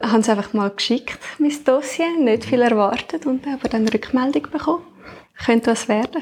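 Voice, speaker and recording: Moderate pace, very even loudness and ordinary pitch variation over noticeable background noise. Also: woman, high pitch for a woman. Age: 20s. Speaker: podcast co-host, new team member. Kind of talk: casual chat. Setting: at home, dining table.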